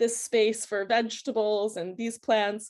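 A woman with an American accent and an ordinary speaking voice, fairly high in pitch and fairly slow in pace. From United States. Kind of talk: interview.

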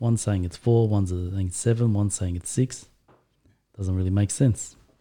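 In an Australian accent, a man speaks at a moderate pace with a fairly low pitch, a dark, mellow, somewhat breathy tone and fairly even intonation. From Australia, Turkish family. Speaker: guest discussing Islam. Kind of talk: casual chat.

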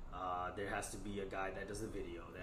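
A man with an American accent talks at a very fast pace. Noticeable background noise is present. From New York (Queens) and New Jersey. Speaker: rapper and science teacher. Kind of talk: casual interview. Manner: energetic.

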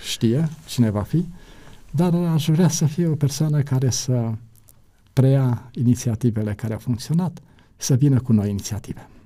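A man's somewhat breathy, dark, mellow voice at medium pitch, fairly slow in pace, with ordinary pitch variation on a very clean recording with a silent background. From Romania, Satu Mare county. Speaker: pastor and publishing director. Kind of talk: interview, life story.

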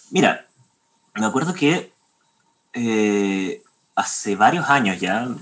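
A man talks with a Chilean accent at a very slow pace. His intonation is lively. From Chile, Santiago. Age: 20s. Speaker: composer. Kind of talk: interview.

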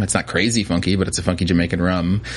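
A man with an American accent talks at a very fast pace in a very deep, low voice, with noticeable background noise. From New Jersey. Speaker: spirits distributor salesperson. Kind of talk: casual interview. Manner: hesitant, many fillers.

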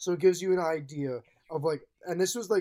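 A dark, mellow tone at a very fast pace, with ordinary pitch variation, on a very clean recording over a silent background. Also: man. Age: 20s. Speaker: podcast co-host. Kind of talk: casual chat.

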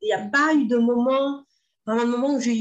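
A woman speaks in an energetic tone with a high pitch. Her pitch varies in an ordinary way. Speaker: entrepreneur, former sports teacher. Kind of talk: interview.

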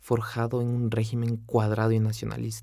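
A man's dark, mellow voice of medium pitch at a fairly quick pace, on a very clean recording with a silent background. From Ecuador, Quito. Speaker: veterinarian podcaster. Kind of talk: motivational personal narration.

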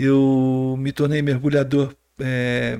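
A man speaks at a medium pitch. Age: 50s. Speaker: entrepreneur and water safety volunteer educator. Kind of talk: podcast interview.

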